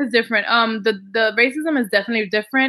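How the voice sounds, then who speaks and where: Speaking with a Dominican accent, a woman has a fairly high pitch. Her pace is fairly quick. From Dominican Republic. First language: Spanish. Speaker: Spanish teacher. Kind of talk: casual interview.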